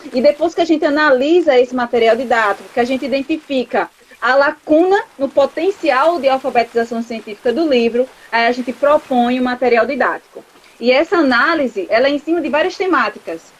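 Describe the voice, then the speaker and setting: Against noticeable background noise, a woman talks at a fairly quick pace in a high voice with ordinary pitch variation. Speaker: chemistry professor and researcher. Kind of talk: interview. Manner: fast.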